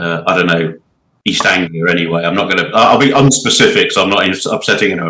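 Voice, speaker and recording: In a Berkshire accent, a man talks at a very fast pace with a very deep, low pitch. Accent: sounds like a Berkshire man. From English Midlands, Birmingham. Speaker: board game player. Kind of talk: casual chat. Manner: halting.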